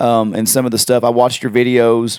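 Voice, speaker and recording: A man with an ordinary speaking voice at medium pitch, moderate pace, very clean recording with a silent background. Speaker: podcast co-host. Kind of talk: podcast host interviewing a guest.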